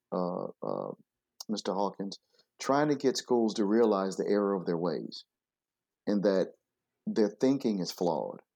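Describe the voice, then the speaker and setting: In an American accent, this speaker uses a normal speaking voice with ordinary pitch variation at a fairly slow pace. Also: man. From US Midwest, Flint, Michigan. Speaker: education consultant and former principal. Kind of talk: interview.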